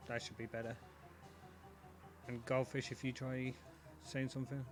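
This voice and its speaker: A man's medium-pitched voice with a British accent, flat and monotone in intonation, at a moderate pace over background music. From Britain. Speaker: esports commentator. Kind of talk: live commentary. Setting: voice call.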